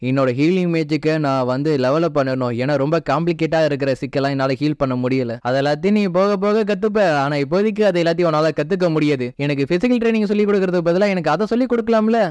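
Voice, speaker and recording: Against a quiet background, a man with an ordinary speaking voice and a fairly high pitch uses lively intonation at a very even loudness. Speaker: story recap narrator. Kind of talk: casual anime story recap narration.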